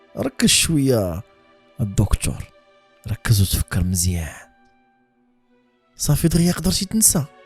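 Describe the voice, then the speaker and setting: With a Moroccan accent, a man swings his pitch very widely and leaves long, frequent pauses as music plays behind him. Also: medium pitch for a man, fairly slow pace. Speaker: horror storyteller. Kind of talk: read horror story in Moroccan Darija.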